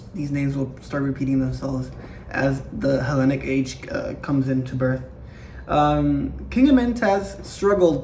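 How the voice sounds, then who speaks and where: At a fairly slow pace, a man talks amid noticeable background noise and audible room echo. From Latin America. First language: not English. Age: young. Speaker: history YouTuber. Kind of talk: casual lecture. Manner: animated; halting.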